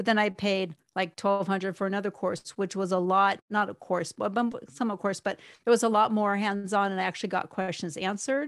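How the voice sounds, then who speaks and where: A woman speaks at a medium pitch, her intonation fairly even and her pace fairly quick with hardly any pauses. The recording is very clean, with a silent background. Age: 50s. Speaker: graphic design and marketing studio owner. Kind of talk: coaching call conversation. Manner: halting.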